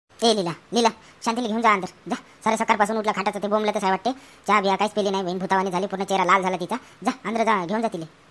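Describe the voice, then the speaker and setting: A cartoonish character voice rattles along at a very fast pace with monotone, flat intonation. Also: woman, medium pitch for a woman. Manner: calm, reasoning.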